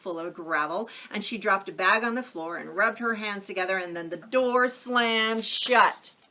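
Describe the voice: What is heard here is plain reading aloud.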